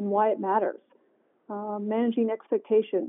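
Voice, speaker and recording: In an ordinary speaking voice, a woman with an American accent talks at a fairly quick pace and fairly high pitch. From Michigan. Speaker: corporate government affairs executive. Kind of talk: interview.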